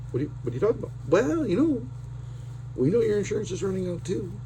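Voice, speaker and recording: A man with a Canadian Prairies accent, heard with audible room echo. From Saskatchewan, Canada. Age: 50s. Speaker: vlogger. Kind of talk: casual personal vlog. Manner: unrehearsed, hesitant with many fillers.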